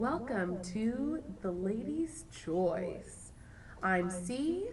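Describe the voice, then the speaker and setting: Amid audible room echo, a woman speaks at a very slow pace and a medium pitch, somewhat breathy, with very wide pitch swings. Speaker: college radio co-host. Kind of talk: casual chat. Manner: animated.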